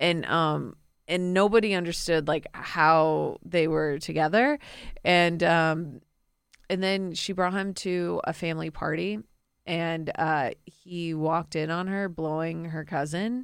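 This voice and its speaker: A woman with an American accent speaks in a normal speaking voice, her pitch fairly low with ordinary variation, on a very clean recording against a silent background. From Florida, US. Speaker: comedian. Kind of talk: casual chat. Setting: studio.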